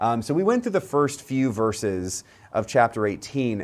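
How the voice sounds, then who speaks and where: A speaker with an American accent talks at a fairly slow pace, with lively intonation and an animated tone. The recording is very clean and the background is silent. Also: man. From US South, Central Florida. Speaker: priest leading Bible study. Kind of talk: Bible study teaching. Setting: livestream video.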